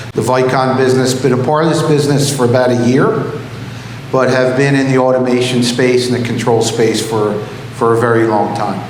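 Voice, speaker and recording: Speaking fairly quickly in a Philadelphia accent, a man keeps a medium pitch, monotone, flat intonation and very even loudness, with noticeable background noise and audible room echo. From US Northeast, Philadelphia area. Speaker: business executive. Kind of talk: keynote speech. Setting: stage with audience.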